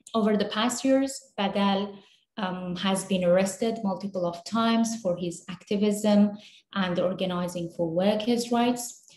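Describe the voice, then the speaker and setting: A woman's somewhat breathy, medium-pitched voice with a Kurdish accent, fairly even intonation and a fairly slow pace. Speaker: human rights worker. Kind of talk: webinar presentation. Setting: video call.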